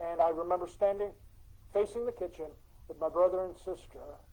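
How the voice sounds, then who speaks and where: A man talks at a fairly quick pace in a high pitch. His tone is dark and mellow. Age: 60s. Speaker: storyteller. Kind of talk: storytelling presentation. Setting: church presentation to audience. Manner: conversational, halting.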